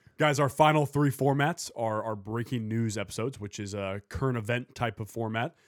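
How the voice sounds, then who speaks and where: A man's plain, everyday voice at a medium pitch, fairly quick, with ordinary pitch variation, dry and close with no echo, on a very clean recording with a silent background. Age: 20s. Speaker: podcast host. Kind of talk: casual podcast chat.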